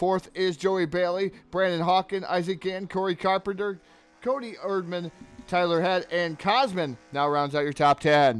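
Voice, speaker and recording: A man talks with ordinary pitch variation in a high-pitched voice. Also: moderate pace. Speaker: sim racing commentator. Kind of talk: live commentary. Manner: soft.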